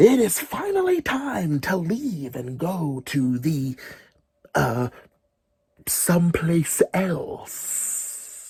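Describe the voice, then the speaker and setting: A booming, put-on character voice at a middle pitch moves at a very slow pace. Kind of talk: children's story.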